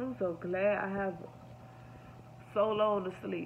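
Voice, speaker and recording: A woman's weary tone at a very slow pace, over light background noise. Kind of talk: casual vlog chat. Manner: weary, low, sick-sounding voice. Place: home room. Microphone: phone near.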